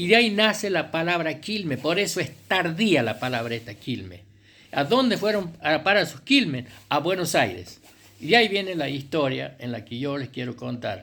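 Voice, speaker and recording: A man with a fairly high pitch, vocal fry, a bright, sharp tone, very wide pitch swings and a moderate pace. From Argentina, Chilecito, La Rioja. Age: 70s. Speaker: writer and local historian. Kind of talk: oral history talk. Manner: halting, many fillers.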